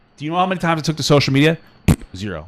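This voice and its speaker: A man talks in an animated tone. Vocal fry runs through his voice. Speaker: podcast co-host. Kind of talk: casual chat. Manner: loud, ranting.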